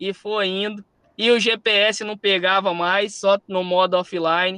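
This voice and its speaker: With a slight Minas Gerais accent, a man speaks at a fairly slow pace and a high pitch. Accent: slight Minas Gerais (mineiro). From Espírito Santo, Brazil. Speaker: musician and speaker. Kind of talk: storytelling talk. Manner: animated.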